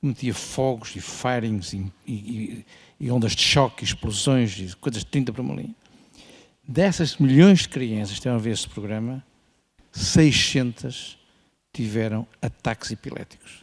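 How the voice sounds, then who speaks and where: The intonation here is lively. A man talks at medium pitch and a moderate pace. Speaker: ophthalmologist. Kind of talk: conference panel remarks. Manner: assertive.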